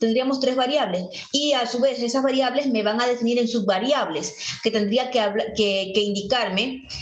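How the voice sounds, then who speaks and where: Ordinary pitch variation from a woman, amid noticeable background noise and audible room echo. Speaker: teacher. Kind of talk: lecture. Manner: fast; animated.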